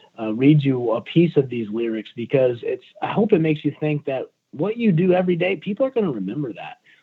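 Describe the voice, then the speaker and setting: A man with an American accent, fairly high in pitch, at a fairly quick pace with hardly any pauses and very wide pitch swings. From US South, South Carolina. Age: 40s. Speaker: fire battalion chief. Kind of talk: podcast interview. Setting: phone call.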